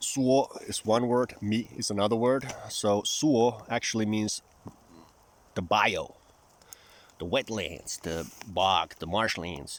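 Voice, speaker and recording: With noticeable background noise, a man of medium pitch talks at a very slow pace with long, frequent pauses. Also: ordinary pitch variation. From Finland. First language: Finnish. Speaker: vlogger. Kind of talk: casual vlog monologue.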